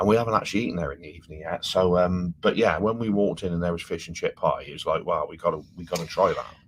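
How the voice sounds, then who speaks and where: A man with an English accent speaks at a very fast pace with hardly any pauses. His loudness swings widely. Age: 50s. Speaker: travel vlogger. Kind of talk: casual chat. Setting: live stream from cruise ship cabin. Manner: animated.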